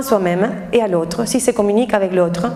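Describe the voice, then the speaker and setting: A woman with an Argentine accent speaks at a fairly quick pace and medium pitch. Her intonation is fairly even, and background noise is noticeable. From Argentina. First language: Spanish (speaking French). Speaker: tango teacher and dancer. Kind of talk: talk to an audience. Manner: halting.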